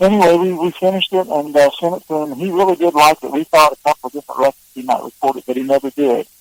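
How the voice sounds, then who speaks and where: Fairly high-pitched, a man speaks at a very fast pace with hardly any pauses. The sound is dry and close, with no echo. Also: ordinary pitch variation. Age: 60s. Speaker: songwriter and singer. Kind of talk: interview. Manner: halting.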